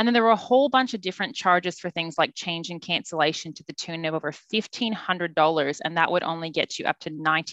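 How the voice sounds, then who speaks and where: In an Australian accent, a woman with a fairly low pitch talks at a very fast pace. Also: quiet background. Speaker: travel agent. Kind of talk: casual chat.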